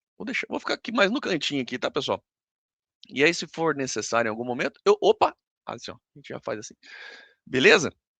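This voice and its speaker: A man's very fast delivery with long, frequent pauses and big swings in loudness. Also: dry, close sound with no echo, quiet background. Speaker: university lecturer. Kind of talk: online lecture. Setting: recorded live stream with screen share.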